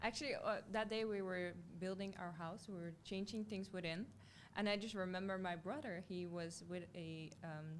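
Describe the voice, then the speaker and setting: Amid audible room echo, a woman with a Dutch accent speaks at a medium pitch and moderate pace with fairly even intonation. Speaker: beauty pageant contestant. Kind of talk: casual interview.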